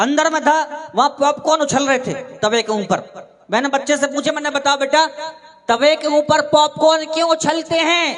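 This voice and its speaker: This man's voice sits at an extremely high pitch. Its pitch variation is ordinary. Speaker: stand-up comedian and mimicry artist. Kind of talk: live stand-up comedy. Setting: live stage show with audience.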